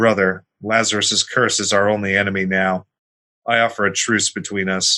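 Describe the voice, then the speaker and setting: A man's put-on character voice, fairly low in pitch, at a moderate pace against a quiet background. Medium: read story. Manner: proud, imperious.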